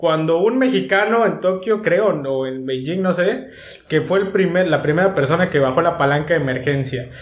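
The delivery has lively intonation at a moderate pace. Audible room echo surrounds it. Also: man, high pitch for a man. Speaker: podcast co-host. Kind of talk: casual chat. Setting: remote home studio.

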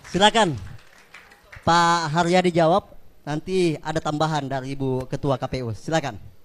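A plain, everyday voice belongs to a man with a fairly high pitch. He speaks at a moderate pace with ordinary pitch variation. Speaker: event emcee. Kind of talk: event moderation. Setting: stage with audience.

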